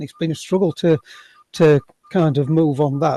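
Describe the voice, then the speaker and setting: A man with a Sheffield accent, a fairly high pitch, a dark, mellow tone, a somewhat breathy voice and fairly even intonation. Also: dry, close sound with no echo. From Sheffield, northern England. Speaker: workshop participant, sword dancer. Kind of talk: audience question. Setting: video call. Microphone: cheap headset, no video.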